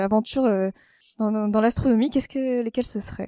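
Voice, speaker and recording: A woman speaks at a fairly high pitch with a dark, mellow tone. The sound is dry and close, with no echo. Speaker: podcast host. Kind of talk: podcast interview questions.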